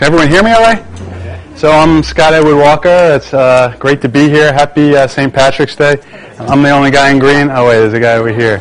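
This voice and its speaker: Against noticeable background noise, a man with an American accent talks fairly quickly in a fairly high voice, with ordinary pitch variation and very even loudness. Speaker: corporate lawyer. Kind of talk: live presentation to audience. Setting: live event with audience, streamed. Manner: casual, conversational with fillers.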